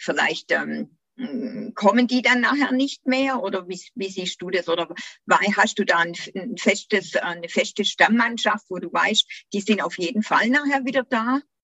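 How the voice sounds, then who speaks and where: At a fairly slow pace, a woman with an unremarkable speaking voice and a fairly high pitch speaks with lively intonation. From Germany, Göppingen district (Swabia). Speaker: podcast host, English teacher and tour guide. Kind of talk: casual interview.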